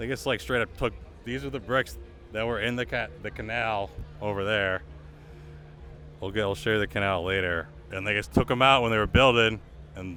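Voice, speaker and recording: A man's bright, sharp voice with vocal fry and an American accent, at a fairly quick pace with long, frequent pauses and ordinary pitch variation. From Lowell, Massachusetts. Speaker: street interviewer and tour guide. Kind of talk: casual walking tour vlog. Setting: outdoor street festival and church. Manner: casual, filler-heavy.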